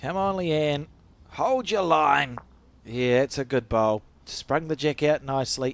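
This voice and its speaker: A man with a New Zealand accent, fairly high pitch, ordinary pitch variation and a fairly slow pace. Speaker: bowls commentator. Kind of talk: live commentary.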